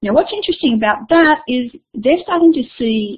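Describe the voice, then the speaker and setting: A somewhat breathy woman with an Australian accent. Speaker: education consultant and keynote speaker. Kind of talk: webinar keynote presentation. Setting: online webinar.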